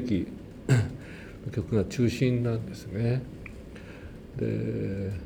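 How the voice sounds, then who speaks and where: This man's voice sits at a medium pitch, with a dark, mellow tone and a somewhat breathy quality. His pitch varies in an ordinary way. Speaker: church choir conductor. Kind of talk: testimony. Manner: casual.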